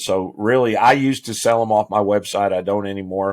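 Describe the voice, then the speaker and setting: A plain, everyday voice, with ordinary pitch variation and a fairly quick pace, comes through on a very clean recording with a silent background. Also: man. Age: 60s. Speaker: fire chief. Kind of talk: casual interview.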